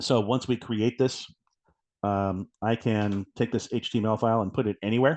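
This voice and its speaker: Fairly even intonation from a man at a medium pitch. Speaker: software product presenter. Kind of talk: product demo webinar. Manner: fast.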